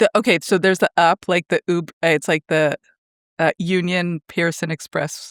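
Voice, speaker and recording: Spoken at a moderate pace with a Canadian accent, the clip is a very clean recording with a silent background. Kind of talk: casual chat.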